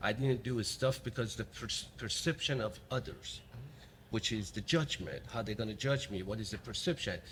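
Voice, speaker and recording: With a Middle Eastern accent, a man talks at a moderate pace. His pitch varies in an ordinary way. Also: medium pitch for a man. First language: not English (speaks five languages). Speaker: podcast host. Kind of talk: interview conversation. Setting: remote recording. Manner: halting, repeats words.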